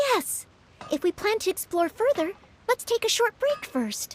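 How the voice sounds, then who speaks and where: Squeaky and extremely high-pitched, a woman's put-on character voice swings very widely in pitch while holding very even loudness at a moderate pace, with a dry, close sound and no echo. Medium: video game. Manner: polite, modest.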